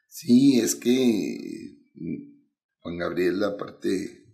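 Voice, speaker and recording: The speech goes at a very slow pace, with audible room echo. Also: man. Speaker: singer. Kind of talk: casual chat. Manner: halting.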